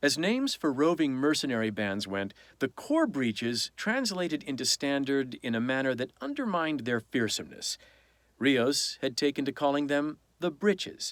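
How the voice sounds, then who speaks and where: A man speaks in a normal speaking voice, fairly high in pitch, at a moderate pace with lively intonation. The sound is dry and close with no echo, and the recording is very clean with a silent background. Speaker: audiobook narrator. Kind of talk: audiobook reading.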